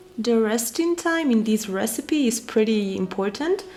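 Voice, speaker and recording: A woman with a fairly high pitch at a fairly slow pace, with music in the background. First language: Spanish. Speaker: cooking vlogger. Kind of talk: cooking tutorial. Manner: casual, some hesitations.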